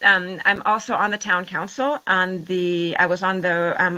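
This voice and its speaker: A woman speaks with a Washington State accent at a medium pitch. Her tone is bright and sharp. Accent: American, Washington State. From US Pacific Northwest, Washington State. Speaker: water and transport professional, town councillor. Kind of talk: interview. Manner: halting, many fillers and restarts.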